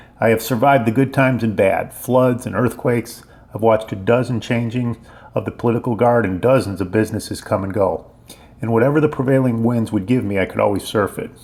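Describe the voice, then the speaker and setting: Over noticeable background noise, a man with a medium pitch and fairly even intonation talks at a very fast pace. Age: 60s. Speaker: local business owner and activist. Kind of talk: scripted narration.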